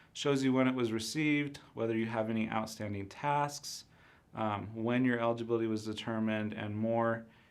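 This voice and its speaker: Audible room echo surrounds a man speaking at medium pitch and moderate pace with fairly even intonation. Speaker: university enrollment counselor. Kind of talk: live-streamed informational presentation. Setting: live stream.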